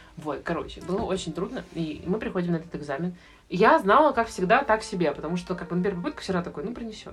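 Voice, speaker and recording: A woman talks very fast at medium pitch with lively intonation. Noticeable background noise runs underneath. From Russia, St Petersburg. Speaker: medical student. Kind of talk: casual chat.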